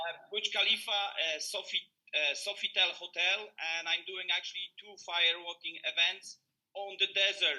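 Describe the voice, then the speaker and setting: In a Polish accent, a man speaks in a raised, projected voice with a bright, sharp tone, monotone flat intonation and big swings in loudness. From Poland. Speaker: motivational speaker. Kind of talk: motivational talk. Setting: video call.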